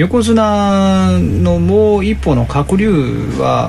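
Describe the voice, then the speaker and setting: With noticeable background noise behind him, a man speaks with very wide pitch swings. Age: middle-aged. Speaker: podcast host. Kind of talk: casual chat.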